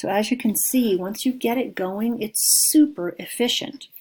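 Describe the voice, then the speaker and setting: With a dark, mellow tone, a woman talks in lively intonation. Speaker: cake decorator and spreadsheet tutor. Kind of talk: software tutorial.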